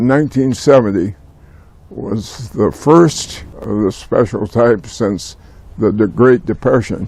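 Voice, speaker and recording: At a very slow pace, a man with an American accent talks at medium pitch with ordinary pitch variation. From US Pacific Northwest, Tacoma. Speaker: retired environmental lawyer. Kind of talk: oral history interview. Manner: halting.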